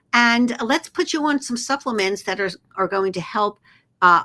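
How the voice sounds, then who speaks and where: A woman with a Philadelphia accent speaks with lively intonation and a bright, sharp tone on a very clean recording with a silent background. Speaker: naturopath and acupuncturist. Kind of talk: podcast interview.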